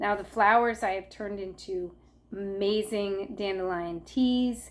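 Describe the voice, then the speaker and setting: A woman's plain, everyday voice at a medium pitch with fairly even intonation, in a very clean recording with a silent background. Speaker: herbalist YouTuber. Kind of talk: tutorial. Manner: casual, with fillers.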